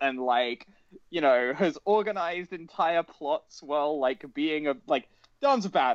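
The speaker is a man with a British accent. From Britain. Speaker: podcast co-host. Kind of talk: casual chat.

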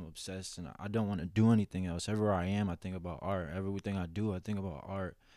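Using a plain, everyday voice, a man talks with fairly even intonation at a fairly low pitch. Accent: American. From Boston area. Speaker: custom artist. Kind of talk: casual chat.

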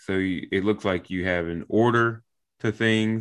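A man with an unremarkable speaking voice speaks at a fairly low pitch. His pace is fairly slow, his intonation fairly even. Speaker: podcast host; military member. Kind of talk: casual interview chat.

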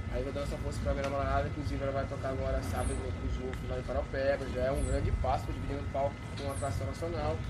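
A man speaks at a very fast pace with hardly any pauses. Audible room echo and noticeable background noise are present. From Marabá, Pará, Brazil. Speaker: electronic music DJ. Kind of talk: casual chat. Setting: outdoors at a riverside bar.

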